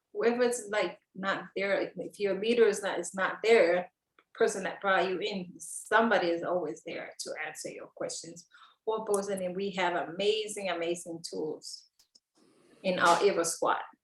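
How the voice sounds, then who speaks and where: Speaking in a Samoan accent, a woman at medium pitch keeps a moderate pace and fairly even intonation, with big swings in loudness. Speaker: network marketer. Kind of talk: interview.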